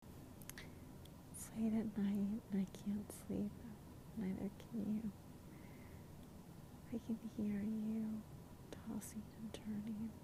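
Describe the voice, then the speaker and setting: The speech comes at a very slow pace with long, frequent pauses. Noticeable background noise is present. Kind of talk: soothing ASMR monologue addressed to an insomniac listener. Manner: whispered, soft, intimate.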